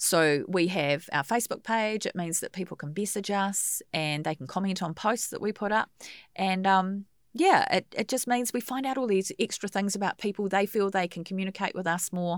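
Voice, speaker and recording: On a very clean recording with a silent background and a dry, close sound with no echo, a woman with a New Zealand accent speaks at a moderate pace and medium pitch, with ordinary pitch variation. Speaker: radio host and funeral celebrant. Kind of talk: casual interview chat. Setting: radio studio.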